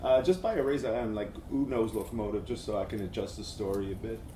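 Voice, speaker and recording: There's audible room echo as a man speaks at a medium pitch and moderate pace with ordinary pitch variation. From Quebec, Montreal. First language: French. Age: 40s. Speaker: agency creative director, conference speaker. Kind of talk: conference talk. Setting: stage with audience.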